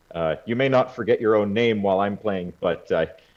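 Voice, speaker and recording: At a moderate pace, a man speaks in a fairly low pitch with ordinary pitch variation. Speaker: bass-baritone singer and medieval instrumentalist. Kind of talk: interview conversation.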